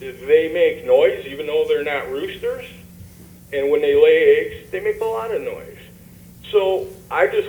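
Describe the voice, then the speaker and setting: A man with an American accent speaks at a fairly slow pace, his loudness swinging widely, amid noticeable background noise and audible room echo. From Michigan (Romulus). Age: 60s. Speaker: resident speaking at public comment. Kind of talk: public comment at council meeting. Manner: halting.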